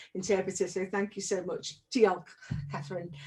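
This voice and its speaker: A woman with a Liverpool accent speaks at a medium pitch with ordinary pitch variation. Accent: Liverpool (Scouse) English. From Liverpool, England. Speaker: arts organisation director. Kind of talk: panel talk.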